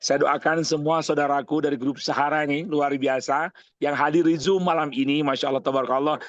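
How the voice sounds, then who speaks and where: An animated man with fairly high pitch talks at a very fast pace. The background is quiet. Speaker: umrah guide and seminar speaker. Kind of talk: online seminar talk. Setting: video call.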